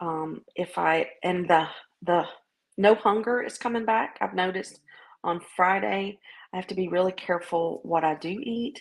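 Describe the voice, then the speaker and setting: Lively intonation carries a woman's fairly slow speech in a Southern US accent. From US South. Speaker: vlogger sharing weight-loss journey. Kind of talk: casual video diary. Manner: hesitant, many fillers.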